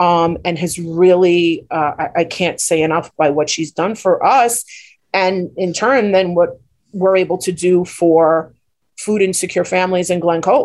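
Her pace is fairly slow. The woman keeps a fairly even intonation. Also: fairly low pitch for a woman. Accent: New York. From Queens, New York. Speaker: nonprofit co-founder. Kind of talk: radio interview.

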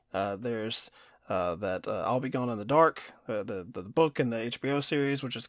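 A man speaks at a fairly quick pace with a slight Kentucky accent. His pitch varies in an ordinary way, and the recording is very clean with a silent background. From Kentucky, US. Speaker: film podcast co-host. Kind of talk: casual chat.

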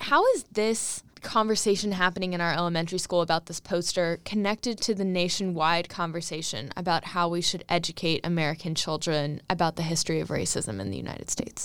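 An ordinary speaking voice, a woman's fairly low pitch shows ordinary variation at a fairly quick pace with hardly any pauses. The recording is very clean, with a silent background. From Charlottesville, Virginia. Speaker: radio host. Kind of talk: radio interview. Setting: studio.

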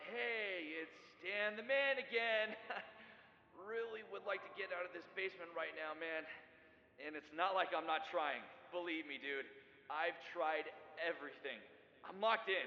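Putting on a whiny character voice, a man speaks high and with lively intonation at a moderate pace. Long, frequent pauses break up his speech over clear background noise. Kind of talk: comedy skit voicemail. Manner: slangy, whiny, increasingly desperate.

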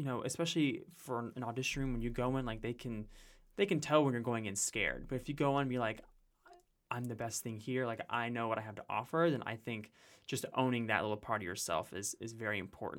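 A man with a slight Carolina accent at a very fast pace, in a very clean recording with a silent background. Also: medium pitch for a man, ordinary pitch variation. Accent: slight Carolina touch. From Carolinas, US South (raised partly in Utah). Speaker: musical theater performer. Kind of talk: casual chat.

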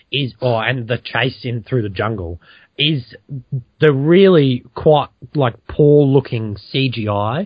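A man speaks very slowly with lively intonation and a somewhat breathy voice. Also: medium pitch for a man. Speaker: podcast host. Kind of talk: casual banter.

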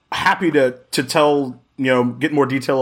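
A man's animated voice at a medium pitch. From Jacksonville, Florida. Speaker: podcast guest, gaming community member. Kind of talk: casual chat. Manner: loud.

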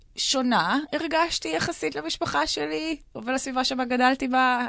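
A woman's voice over a quiet background. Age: 30s. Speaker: dance instructor, cancer survivor. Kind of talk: casual chat. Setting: radio studio.

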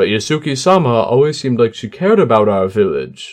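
A man with a medium pitch puts on a character voice. He moves at a fairly quick pace. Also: lively intonation. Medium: read story.

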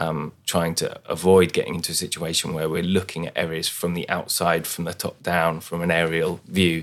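A man with a London accent talks at a fairly quick pace on a very clean recording with a silent background. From London, East London. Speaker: city architect. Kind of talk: panel discussion.

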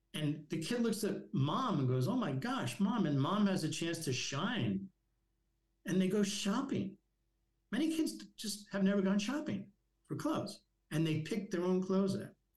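With an American accent and a high pitch, a man speaks at a moderate pace, his pitch swinging very widely and his pauses long and frequent. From Long Island, New York. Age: 70s. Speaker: charity executive director. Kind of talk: casual interview. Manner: halting, filler-heavy.

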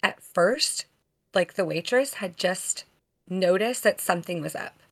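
Woman at medium pitch with an unremarkable speaking voice, lively intonation and a fairly slow pace. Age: 30s. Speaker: podcast co-host. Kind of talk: casual chat.

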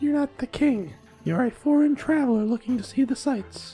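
Over clear background music, a woman uses a put-on character voice, high-pitched and at a moderate pace. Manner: whispering.

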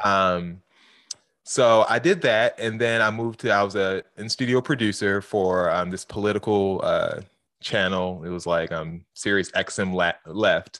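In a very clean recording with a silent background, a man speaks at a fairly slow pace with ordinary pitch variation. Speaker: radio host. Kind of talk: casual interview chat.

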